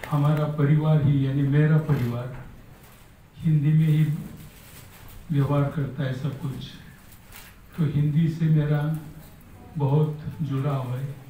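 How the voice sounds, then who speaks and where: A man speaks in a fairly high pitch with monotone, flat intonation and long, frequent pauses. Room echo is audible. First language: Marathi (speaking Hindi). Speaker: scholar, speaker at book launch. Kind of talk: formal speech to an audience.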